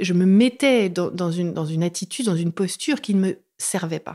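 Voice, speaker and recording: Her tone dark and mellow, a woman speaks at a medium pitch with ordinary pitch variation and a moderate pace on a very clean recording with a silent background. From France. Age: 30s. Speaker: author. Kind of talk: interview. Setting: host's apartment.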